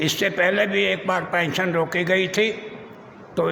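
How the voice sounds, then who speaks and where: A man's high-pitched voice with fairly even intonation, amid noticeable background noise and audible room echo. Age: 80s+. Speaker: pensioner. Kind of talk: complaint to press.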